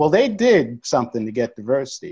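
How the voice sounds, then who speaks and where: In an American accent, a man with a fairly high pitch and a dark, mellow tone speaks against a quiet background. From New York City (Bronx). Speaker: education consultant. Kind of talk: casual chat.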